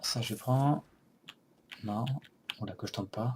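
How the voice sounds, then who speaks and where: The pace is very slow and the intonation fairly even. A man talks in a somewhat breathy voice. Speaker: let's play gamer. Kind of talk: gameplay commentary.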